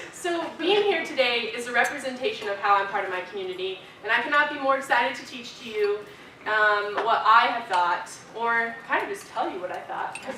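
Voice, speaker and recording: A woman with an American accent, fairly high-pitched and fairly quick, with lively intonation and big swings in loudness, amid audible room echo and noticeable background noise. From US West (Arizona, then Idaho). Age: 20s. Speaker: student leader. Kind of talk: keynote speech. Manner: casual, filler-heavy.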